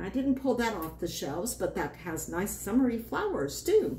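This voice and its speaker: At a fairly slow pace, a woman talks in a fairly high pitch that moves in very wide swings. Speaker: board game channel host. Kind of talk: casual talk to camera.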